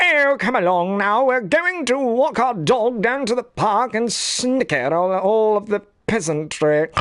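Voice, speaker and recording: A man does a cartoonish character voice, high-pitched, at a fairly slow pace. His pitch swings very widely while his loudness stays very even. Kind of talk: cartoonish, snooty. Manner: haughty.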